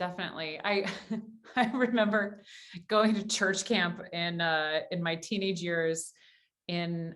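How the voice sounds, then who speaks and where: A bright, sharp tone with a slight Midwestern accent and ordinary pitch variation, in a very clean recording with a silent background. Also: woman. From US Midwest. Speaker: voice coach and podcast co-host. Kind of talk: casual chat.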